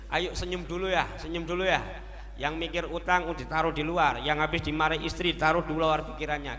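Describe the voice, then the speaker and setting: Noticeable background noise and audible room echo surround a man talking at a very fast pace. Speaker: Islamic preacher. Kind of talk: sermon. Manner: animated.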